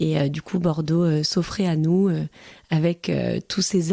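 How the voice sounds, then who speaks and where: A woman is speaking. Her pace is moderate. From provincial France. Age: 30s. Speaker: interviewee, mother. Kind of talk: testimony. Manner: hesitant, many fillers.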